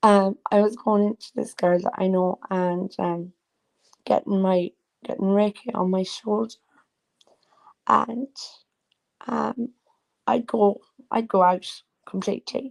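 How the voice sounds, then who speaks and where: With an Irish accent and a medium pitch, a woman speaks at a fairly slow pace with fairly even intonation and long, frequent pauses, in a dry, close sound with no echo. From Ireland. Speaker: livestreamer and psychic reader. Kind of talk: casual livestream chat. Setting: live video stream. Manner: rambling, halting with many fillers.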